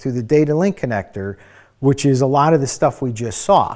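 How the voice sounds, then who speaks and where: A man's fairly high voice at a moderate pace, a normal speaking voice. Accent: American. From Ohio. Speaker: EV diagnostics trainer. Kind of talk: webinar Q&A. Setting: online webinar. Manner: casual, with many fillers.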